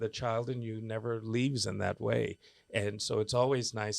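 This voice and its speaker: A man with a normal speaking voice talks in an American accent with fairly low pitch and fairly even intonation. The recording is very clean, with a silent background. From United States. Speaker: opera singer. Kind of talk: interview answer.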